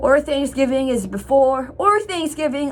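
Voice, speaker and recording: A woman speaks at a moderate pace in a high voice with ordinary pitch variation. Noticeable background noise runs behind her. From Ottawa, Canada (Franco-Ontarian). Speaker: vlogger. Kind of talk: casual vlog talk. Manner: repetitive, halting.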